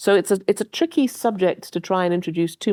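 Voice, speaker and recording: In a very clean recording with a silent background, a woman with a dark, mellow tone talks fairly quickly with lively intonation, the sound dry and close with no echo. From Ghana. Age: 60s. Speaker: architect and professor. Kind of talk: radio interview.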